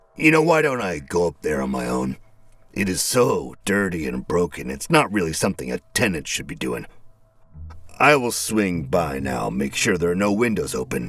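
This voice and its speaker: A man's put-on character voice, husky and very deep in pitch, with very wide pitch swings, a moderate pace and faint music in the background. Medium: read story. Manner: brusque, folksy.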